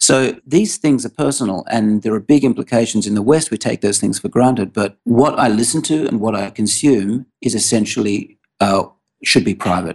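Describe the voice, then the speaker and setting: With an Australian accent, a man speaks at a moderate pace with lively intonation. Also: medium pitch for a man, dry, close sound with no echo. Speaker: tech startup CEO. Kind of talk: interview.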